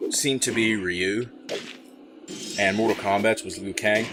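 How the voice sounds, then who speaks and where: A medium-pitched male voice at a moderate pace, with noticeable background noise. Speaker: gaming video host. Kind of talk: game commentary over pre-recorded gameplay. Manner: enthusiastic.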